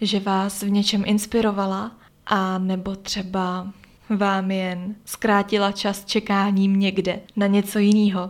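A woman speaks at a very slow pace and a medium pitch. Her intonation is monotone and flat. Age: 20s. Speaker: podcast host. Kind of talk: solo podcast monologue. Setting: holiday accommodation room. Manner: quieter than usual.

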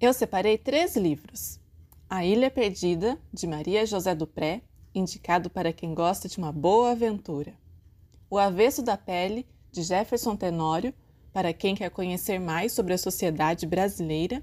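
On a very clean recording with a silent background, a woman with a dark, mellow tone speaks at a medium pitch and a moderate pace, with ordinary pitch variation. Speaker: librarian. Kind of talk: podcast narration.

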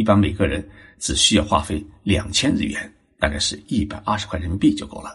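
A man at a fairly low pitch, somewhat breathy and fairly quick in pace. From China, Zhejiang. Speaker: podcast host on Japanese culture. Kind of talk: solo narrated talk.

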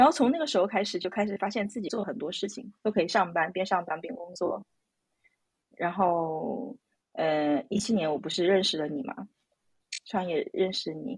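At a medium pitch, a woman speaks at a moderate pace with lively intonation, a somewhat breathy quality and long, frequent pauses. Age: 30s. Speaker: IT professional and mother. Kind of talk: interview. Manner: halting.

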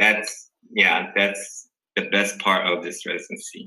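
A man talks with a Korean accent. Audible room echo surrounds his voice. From South Korea. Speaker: dental resident. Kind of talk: casual interview. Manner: halting, many fillers.

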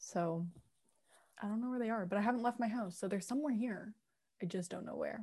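A woman speaks at a fairly quick pace in a dark, mellow, somewhat breathy voice, with long, frequent pauses. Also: fairly high pitch for a woman, ordinary pitch variation. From England. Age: 20s. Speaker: podcast co-host. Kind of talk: casual chat.

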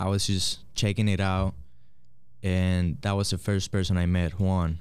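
A man with a Spanish accent talks at a fairly slow pace in a very deep, low pitch. The recording is very clean, with a silent background. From Puerto Rico. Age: 20s. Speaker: barber and soccer coach. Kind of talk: casual interview.

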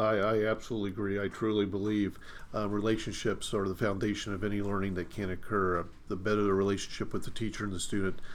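A man with an American accent at a fairly quick pace, amid audible room echo. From Indiana, US Midwest. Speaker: high school principal. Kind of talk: interview.

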